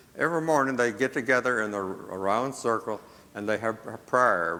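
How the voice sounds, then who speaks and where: In a very clean recording with a silent background, a man speaks in a bright, sharp tone with ordinary pitch variation. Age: 80s+. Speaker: missionary running safe houses for girls. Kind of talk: church presentation with slides. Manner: halting, with repetitions.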